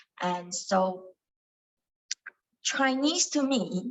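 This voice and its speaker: She is a woman with a Cantonese accent. Her voice is somewhat breathy with lively intonation. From Malaysia, Kuala Lumpur. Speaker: meditation study group leader. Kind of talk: teaching talk. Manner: halting, many fillers.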